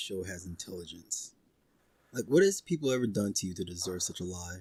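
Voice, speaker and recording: Over a silent background in a very clean recording, a man with a fairly low pitch sounds somewhat breathy as he talks at a fairly quick pace. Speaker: podcast co-host. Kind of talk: casual chat. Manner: sardonic.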